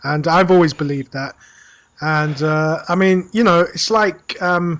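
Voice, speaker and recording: In a British accent, a man talks at a fairly high pitch and a fairly slow pace with ordinary pitch variation. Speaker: podcast co-host. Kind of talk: casual chat. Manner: hesitant, many fillers.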